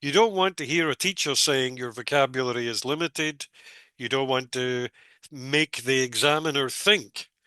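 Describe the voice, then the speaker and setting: Heard against a quiet background, a man with a Scottish accent has a bright, sharp tone at a medium pitch, ordinary pitch variation and a dry, close sound with no echo. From Scotland. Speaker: English teacher, former exam examiner. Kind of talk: tutorial. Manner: slow.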